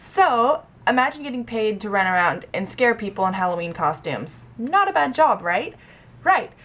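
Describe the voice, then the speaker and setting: A woman talks at a moderate pace in a fairly high voice with very wide pitch swings, against noticeable background noise. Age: 20s. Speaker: actor. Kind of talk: casual vlog talk to camera.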